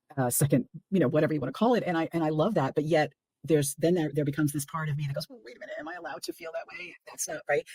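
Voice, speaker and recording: In a dry, close sound with no echo, a woman with a very deep, low pitch talks at a very fast pace, her loudness swinging widely and her pitch varying in an ordinary way. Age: 60s. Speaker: podcast host. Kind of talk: podcast interview.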